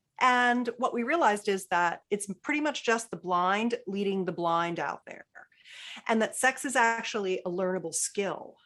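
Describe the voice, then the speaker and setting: Using a normal speaking voice, a woman with a medium pitch talks at a moderate pace with lively intonation over a quiet background. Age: 60s. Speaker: intimacy expert. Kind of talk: podcast interview.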